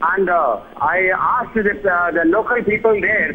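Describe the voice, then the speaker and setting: The speech has ordinary pitch variation. Noticeable background noise runs underneath. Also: man. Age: 70s. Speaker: viewer caller. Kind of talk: phone-in testimony.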